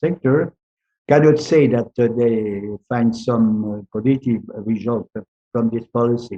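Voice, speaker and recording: With a dark, mellow tone at a medium pitch, a man talks at a fairly slow pace with fairly even intonation, the sound dry and close with no echo. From France. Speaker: retired diplomat. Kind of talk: interview. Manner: halting, many fillers.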